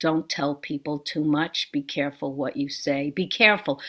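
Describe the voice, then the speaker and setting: This is a woman with an American accent, talking at a fairly slow pace. The recording is very clean, with a silent background. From Brooklyn, New York. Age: 60s. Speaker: author and actor. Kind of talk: interview. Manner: halting.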